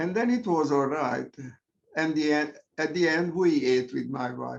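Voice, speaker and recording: The speaker has a Hungarian accent and lively intonation. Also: man. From Hungary. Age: 80s+. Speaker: Zoom meditation participant. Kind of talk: casual sharing in group discussion. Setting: video call.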